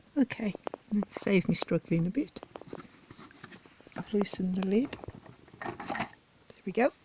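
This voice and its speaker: A woman speaks fairly slowly at a medium pitch with ordinary pitch variation. The sound is dry and close with no echo, with noticeable background noise. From English Midlands. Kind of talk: unboxing video talk to camera.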